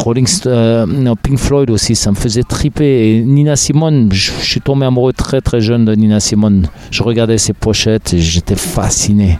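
Noticeable background noise sits behind a man speaking at medium pitch with ordinary pitch variation. He barely pauses and keeps his loudness very even. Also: moderate pace. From Germany, West Berlin. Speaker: drummer and percussionist. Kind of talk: interview conversation.

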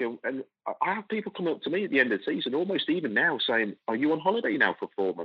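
A man with an English Midlands accent, vocal fry and very wide pitch swings. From England, Coventry. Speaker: football club executive. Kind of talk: interview. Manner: halting.

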